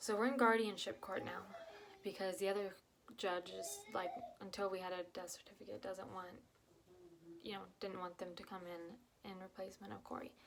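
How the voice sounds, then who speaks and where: A soft-spoken woman talks at a fairly quick pace, pausing long and often, her voice at a medium pitch with ordinary pitch variation. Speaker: vlogger. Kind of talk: personal testimony. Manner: halting.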